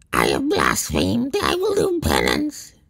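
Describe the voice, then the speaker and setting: In a put-on character voice, a man sounds croaky and raspy as he speaks at a moderate pace. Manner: penitent, fearful.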